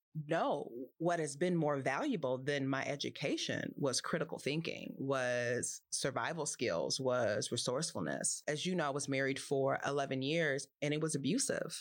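A woman's very deep, low voice in a Californian accent at a moderate pace, with ordinary pitch variation, very even loudness and a very clean recording against a silent background. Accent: General American, California. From US West Coast, Los Angeles. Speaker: poet and nonprofit executive. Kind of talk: casual chat.

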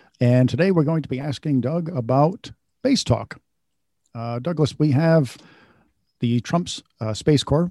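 Against a quiet background, a man with a plain, everyday voice talks at a moderate pace with ordinary pitch variation, the sound dry and close with no echo. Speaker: co-host interviewer. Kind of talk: interview questions.

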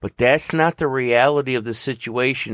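In a Southern US accent, a man talks with an animated tone at a fairly quick pace and a medium pitch. The recording is very clean with a silent background and a dry, close sound with no echo. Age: 50s. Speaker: podcaster and agricultural worker. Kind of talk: rant monologue.

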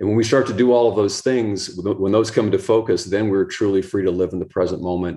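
A man in an American accent with fairly even intonation, over a quiet background. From US East Coast. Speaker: author and pickleball coach. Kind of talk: interview.

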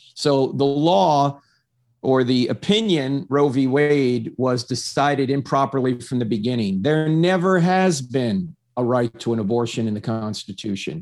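Over a quiet background, a man speaks at a medium pitch with an unremarkable speaking voice. His pace is fairly slow and his intonation lively. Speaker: apologist guest. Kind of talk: Q and A discussion. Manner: articulate, confident.

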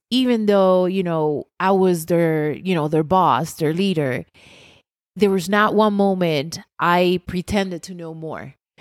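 A woman with a Puerto Rican accent speaks very slowly with ordinary pitch variation on a very clean recording with a silent background. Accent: Puerto Rican, rolled R's. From Puerto Rico. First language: Spanish. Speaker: pastry chef. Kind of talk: casual chat.

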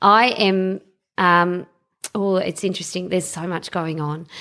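The very clean recording, with its silent background, captures a woman with an Australian accent and ordinary pitch variation. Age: 40s. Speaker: superannuation fund executive and local councillor. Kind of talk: casual interview.

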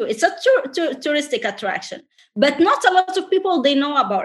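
With a French accent, a woman speaks using lively intonation. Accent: foreign, French-tinged. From Tunisia. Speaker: entrepreneur and travel influencer. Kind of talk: interview.

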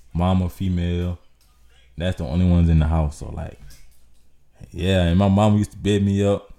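With music in the background, a man with a very deep, low pitch speaks in a monotone, flat intonation at a moderate pace, with long, frequent pauses. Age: 20s. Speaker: aspiring YouTuber. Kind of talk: casual chat.

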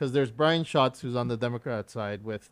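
A man speaks in a plain, everyday voice at a medium pitch with ordinary pitch variation. His pace is fairly quick and the background quiet. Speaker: podcast host. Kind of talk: casual interview.

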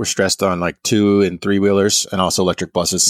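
A man talks at a very fast pace with a fairly low pitch. The sound is dry and close, with no echo. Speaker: podcast host. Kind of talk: interview, with scripted intro.

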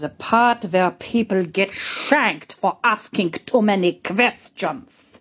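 At a fairly slow pace, a woman with a medium pitch does a put-on character voice with a German accent. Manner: scheming, menacing.

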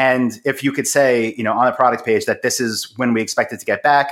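The recording is very clean, with a silent background. A man speaks at a medium pitch in an American accent. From US Northeast, Long Island, New York. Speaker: e-commerce entrepreneur. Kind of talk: interview.

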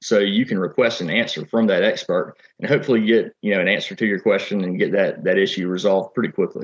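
A man with a Southern US accent, talking very fast with hardly any pauses. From South Carolina. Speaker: farmer and tech entrepreneur. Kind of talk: interview.

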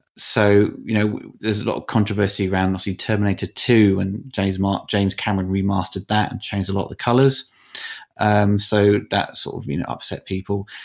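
A man's ordinary speaking voice, fairly low in pitch, at a fairly quick pace with fairly even intonation. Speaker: film critic and documentary filmmaker. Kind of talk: interview.

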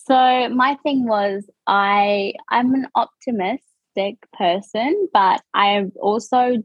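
A woman speaks with a New Zealand accent and lively intonation. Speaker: reality TV contestant. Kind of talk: casual interview chat.

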